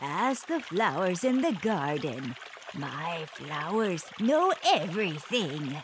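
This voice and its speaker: A cartoonish character voice from a man, high-pitched and very slow, over clear background noise. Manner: sweet, falsely kind.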